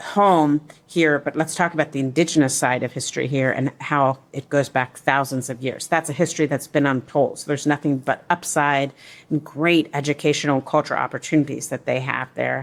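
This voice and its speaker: Her voice very deep and low, a woman talks at a fairly quick pace with fairly even intonation. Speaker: newspaper reporter. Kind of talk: interview. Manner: fast.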